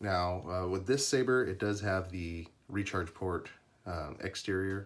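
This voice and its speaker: Somewhat breathy, a man talks at a fairly slow pace with a very deep, low pitch. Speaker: custom lightsaber maker. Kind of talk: product demo tutorial. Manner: hesitant, many fillers.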